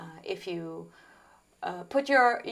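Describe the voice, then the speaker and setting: A woman speaks with an Italian accent at a fairly slow pace, her pitch varying in an ordinary way. The recording is very clean, with a silent background. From Italy, Tuscany. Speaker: singer-songwriter. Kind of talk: interview.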